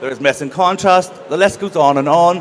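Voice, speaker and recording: A man with a Northern Irish accent, at a moderate pace and with ordinary pitch variation, over noticeable background noise. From Northern Ireland. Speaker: panel host. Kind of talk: panel moderation. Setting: stage with audience.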